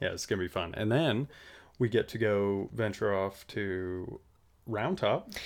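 A man with an American accent and a normal speaking voice talks at a fairly slow pace and fairly low pitch, with ordinary pitch variation, in a very clean recording with a silent background. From Nevada. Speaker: podcast co-host. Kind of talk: casual chat. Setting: shipping container studio with outdoor noise.

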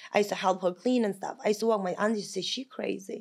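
A woman speaks with a Russian accent at a very fast pace. Her tone is animated. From Kazakhstan. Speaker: momager. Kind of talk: casual chat.

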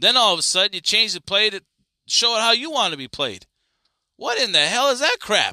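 Raised and projected, the voice is bright, sharp and animated with lively intonation, recorded dry and close with no echo against a very clean, silent background. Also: man. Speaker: sports podcast host. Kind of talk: solo sports commentary.

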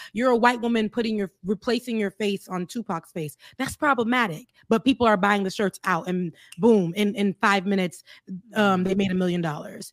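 A woman with an American accent speaks at a fairly quick pace and medium pitch, with ordinary pitch variation. It is an unremarkable speaking voice, recorded dry and close with no echo. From US South, South Florida. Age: 30s. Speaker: political commentator. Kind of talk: casual chat.

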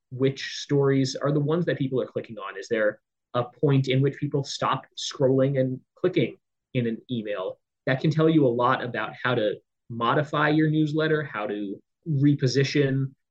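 Somewhat breathy, a man talks at a fairly high pitch with a General American accent. He keeps a moderate pace and fairly even intonation. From US West Coast, San Diego, California. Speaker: newsletter editor. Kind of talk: interview.

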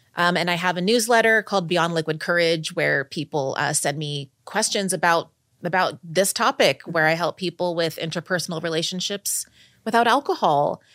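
In an unremarkable speaking voice, a woman talks at a moderate pace and a fairly low pitch with ordinary variation, the sound dry and close with no echo on a very clean recording with a silent background. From Texas. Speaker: writer on sober sex and dating. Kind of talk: casual interview chat. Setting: in-person studio recording.

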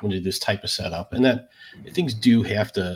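Speaking very fast, a man with a medium-pitched voice sounds somewhat breathy. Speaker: podcast co-host. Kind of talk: casual interview chat.

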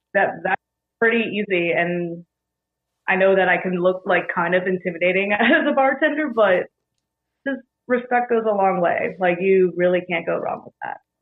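A woman talks at a moderate pace in an unremarkable speaking voice. Her pitch is medium, with ordinary variation. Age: 30s. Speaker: bartender. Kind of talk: casual chat.

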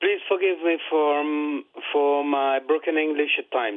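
A man with a French accent speaks fairly slowly at a fairly high pitch, with ordinary pitch variation. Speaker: caller. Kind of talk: call-in question to sports show. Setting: phone call. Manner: halting.

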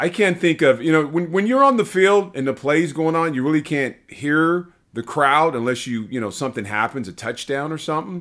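In a plain, everyday voice with an American accent, a man speaks at a fairly high pitch and a fairly quick pace with lively intonation and hardly any pauses, on a very clean recording with a silent background. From Los Angeles, US. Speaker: former football player, podcast co-host. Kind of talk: casual sports podcast chat.

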